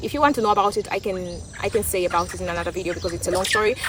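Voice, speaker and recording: With an East African accent, a woman talks at a very fast pace. Noticeable background noise is present. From Tanzania. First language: Swahili. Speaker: vlogger. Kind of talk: casual opinion monologue. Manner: halting, with many restarts.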